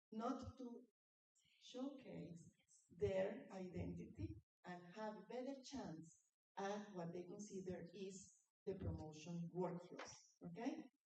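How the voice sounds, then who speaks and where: Speaking very slowly at a medium pitch, a woman with a dark, mellow tone, vocal fry and lively intonation is heard with audible room echo. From Latin America. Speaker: conference speaker on women in industry. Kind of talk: conference presentation with slides. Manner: animated.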